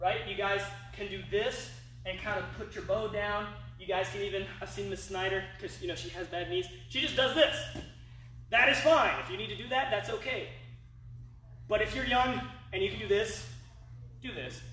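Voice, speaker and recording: A man speaks with long, frequent pauses and big swings in loudness. The room echo is audible. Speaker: martial arts instructor. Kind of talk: online class tutorial. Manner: fast.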